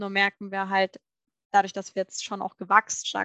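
Her tone bright and sharp, a woman speaks at a medium pitch in a dry, close sound with no echo. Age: 30s. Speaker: managing director of family food company. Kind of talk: interview. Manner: hesitant, many filler sounds.

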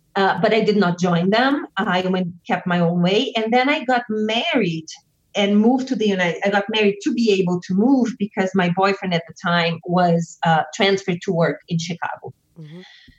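A woman with a Portuguese accent speaks at medium pitch, her voice somewhat breathy. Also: ordinary pitch variation, moderate pace. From southern Brazil. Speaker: witch and author. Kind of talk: interview.

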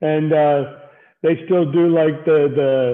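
Speaking with an American accent, a man keeps a monotone, flat intonation throughout. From Miami, South Florida. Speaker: wrestling podcast host. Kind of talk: interview. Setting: video call.

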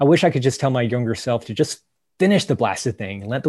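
A man with an American accent has an unremarkable speaking voice, a medium pitch and lively intonation against a quiet background. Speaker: park ranger. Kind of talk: casual chat.

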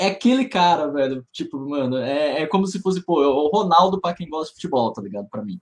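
Speaking at a fairly quick pace with hardly any pauses, a man with a fairly high voice makes very wide pitch swings and big swings in loudness. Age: 20s. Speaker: professional poker player. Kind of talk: casual chat.

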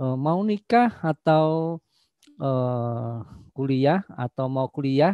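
This is a man talking. His pitch sits fairly high. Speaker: head of university study program. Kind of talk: opening speech. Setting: video call. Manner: hesitant with many fillers.

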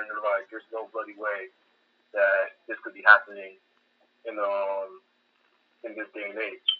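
A man talks at a moderate pace. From US, Haitian-American family. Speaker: army soldier. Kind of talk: casual chat.

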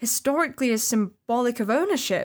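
The speaker has a slight Lancashire accent and lively intonation. The recording is very clean, with a silent background. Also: woman. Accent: little Bolton. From northern England, Bolton. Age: 20s. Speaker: podcast co-host. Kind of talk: casual chat.

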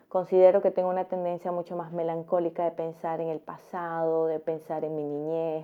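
A woman speaks at a moderate pace with a fairly low pitch. It is a normal speaking voice. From Central America, neighbor of Costa Rica. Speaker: travel vlogger. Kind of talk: personal reflection monologue. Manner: calm, reflective.

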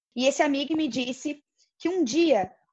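A woman speaks against a quiet background. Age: 20s. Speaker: podcast co-host. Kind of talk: casual chat.

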